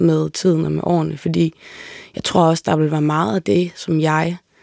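With a dark, mellow tone and a very deep, low pitch, a woman speaks in a dry, close sound with no echo. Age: 20s. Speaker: singer-songwriter. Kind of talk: casual interview conversation. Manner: hesitant, many fillers and repetitions.

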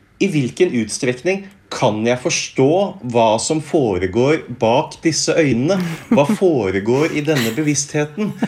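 With vocal fry and a fairly high pitch, a man talks at a very slow pace, his pitch swinging very widely. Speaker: philosophy professor. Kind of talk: interview.

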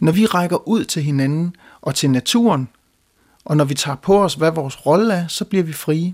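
At a moderate pace, a man talks in a normal speaking voice with fairly high pitch and ordinary pitch variation, the sound dry and close with no echo on a very clean recording with a silent background. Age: young. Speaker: hymn writer and composer. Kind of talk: talk introducing his hymn.

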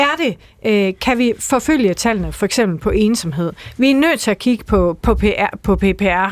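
A woman speaks in a fairly high voice with a Jutlandic accent. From Jutland, Aarhus. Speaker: politician. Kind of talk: radio debate. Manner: hesitant, many fillers.

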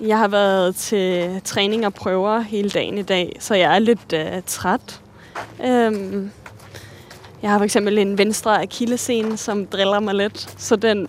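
A woman at a very slow pace with fairly even intonation, amid noticeable background noise. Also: medium pitch for a woman. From Denmark, Virum north of Copenhagen. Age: 20s. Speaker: ballet dancer. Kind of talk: casual conversation. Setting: outdoors, walking.

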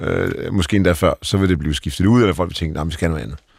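Talking at a very fast pace, a man has a very deep, low pitch. The recording is very clean, with a silent background. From Denmark, Aalborg. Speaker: tech company CEO. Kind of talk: interview. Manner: halting.

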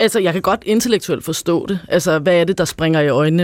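In a dry, close sound with no echo, a man talks at a very fast pace with a high pitch and fairly even intonation. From Copenhagen, Denmark. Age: 30s. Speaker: anti-discrimination consultant. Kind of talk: radio panel discussion.

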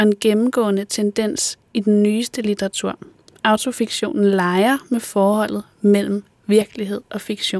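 A woman with an ordinary speaking voice, fairly high pitch and fairly slow pace, in a dry, close sound with no echo. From Denmark, northwest Zealand. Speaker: screenwriter and podcast host. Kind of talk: interview conversation; scripted narration.

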